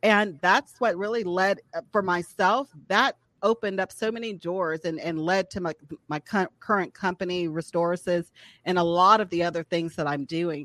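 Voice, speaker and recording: An unremarkable speaking voice with an American accent, at a moderate pace with ordinary pitch variation, dry and close with no echo, over a quiet background. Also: woman, medium pitch for a woman. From US South, Atlanta, Georgia. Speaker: physician. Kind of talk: interview.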